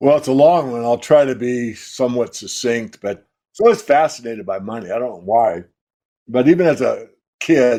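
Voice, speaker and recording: A man speaks with an American accent at a moderate pace. His medium-pitched voice has a dark, mellow tone. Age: 70s. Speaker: precious metals analyst. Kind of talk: interview.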